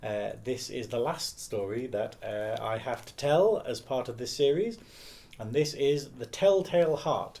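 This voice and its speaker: Talking with an ordinary speaking voice, this man keeps a moderate pace and shows ordinary pitch variation. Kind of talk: casual spoken introduction.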